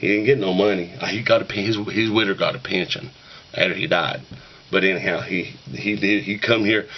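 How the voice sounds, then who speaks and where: A man speaks at a fairly quick pace with a fairly low pitch. Noticeable background noise runs underneath. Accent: Appalachian. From Western North Carolina, Appalachian mountains. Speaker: YouTuber talking about shape note singing. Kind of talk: casual monologue to camera. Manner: folksy, rambling.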